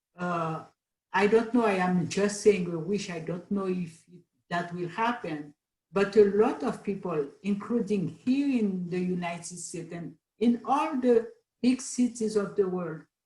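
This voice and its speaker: Somewhat breathy and dark, mellow in tone, a woman speaks at a fairly slow pace. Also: medium pitch for a woman, ordinary pitch variation, big swings in loudness. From Haiti. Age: 70s. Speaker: panel guest. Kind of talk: casual chat.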